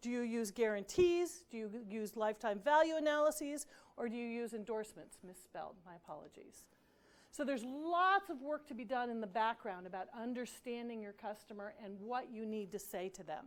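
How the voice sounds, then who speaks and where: A woman with a plain, everyday voice speaks fairly quickly at a fairly high pitch. Her intonation is lively, and her loudness swings widely. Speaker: marketing consultant. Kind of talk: lecture.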